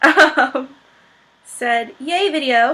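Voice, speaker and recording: In a raised, projected voice, a woman speaks at a high pitch. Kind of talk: casual Q&A talk to camera.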